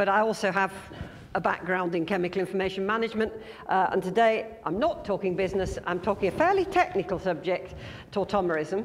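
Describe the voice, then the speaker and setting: A woman speaks at a very fast pace and medium pitch, with ordinary pitch variation, over noticeable background noise. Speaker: management consultant giving a conference talk. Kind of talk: conference presentation.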